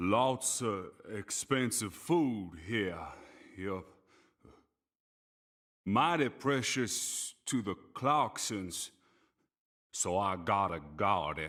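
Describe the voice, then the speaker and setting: In a put-on character voice with a rural American accent, a man speaks fairly low and very slowly, with long, frequent pauses, on a very clean recording with a silent background. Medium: video game. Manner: slow, simple, mumbling.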